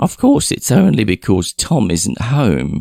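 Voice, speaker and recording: A put-on, whiny character voice at a fairly slow pace, dry and close with no echo. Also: man. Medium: read story. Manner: vague, trailing off mid-sentence.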